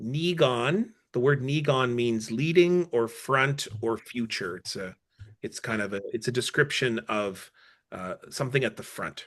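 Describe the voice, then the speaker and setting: Against a quiet background, a man with a Canadian accent speaks at a fairly slow pace. His is an ordinary speaking voice of medium pitch with ordinary pitch variation. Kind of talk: Q&A explanation.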